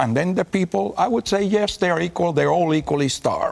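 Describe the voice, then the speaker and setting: A man speaks in a Cuban accent. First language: Spanish. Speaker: pastor. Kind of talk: TV interview answer. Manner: speaks with conviction and authority.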